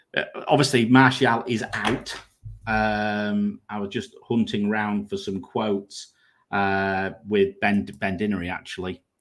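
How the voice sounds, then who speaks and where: With a northern English accent, a man speaks at a fairly low pitch, his intonation fairly even. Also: fairly slow pace. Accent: regional northern English pronunciation. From northern England, Grimsby. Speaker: fantasy football content creator. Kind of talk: casual live stream chat.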